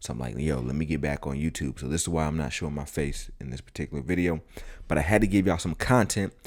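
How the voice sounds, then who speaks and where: Vocal fry runs through speech delivered at a very fast pace with ordinary pitch variation. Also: man, very deep, low pitch for a man. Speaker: travel vlogger. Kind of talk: casual vlog narration. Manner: casual, slangy.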